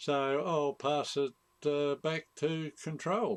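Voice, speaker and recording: With an Australian accent, a man is talking. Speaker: amateur radio operator. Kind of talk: radio net sign-off. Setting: live stream. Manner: halting.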